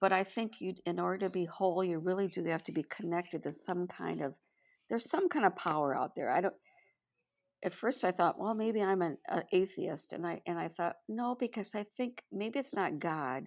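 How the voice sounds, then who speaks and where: At a moderate pace, a woman with medium pitch speaks with lively intonation. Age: 60s. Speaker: retired educator and mentor. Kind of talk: casual interview chat. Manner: halting.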